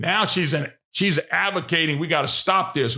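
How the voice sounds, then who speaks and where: In a Louisiana accent, a man speaks at a moderate pace in an animated, bright, sharp tone. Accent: Southern US (Louisiana). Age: 60s. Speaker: political talk show host. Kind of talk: political commentary monologue.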